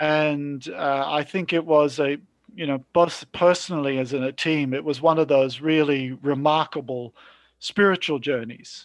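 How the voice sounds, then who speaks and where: A man speaks in a normal speaking voice with a fairly high pitch and fairly even intonation. His pace is fairly slow, and the background is quiet. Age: 50s. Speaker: former missionary team member. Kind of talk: casual chat.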